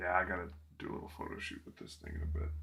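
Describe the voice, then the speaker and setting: A man speaks very fast in a very deep, low voice with a bright, sharp tone and vocal fry. His intonation stays fairly even, and room echo is audible. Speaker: miniature painting streamer. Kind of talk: casual livestream tutorial. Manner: relaxed, chatty.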